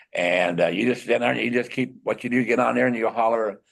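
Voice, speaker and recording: A man speaks with an American accent and vocal fry. His pitch variation is ordinary. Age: 60s. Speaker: ham radio emergency coordinator. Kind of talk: public meeting guest presentation. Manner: halting.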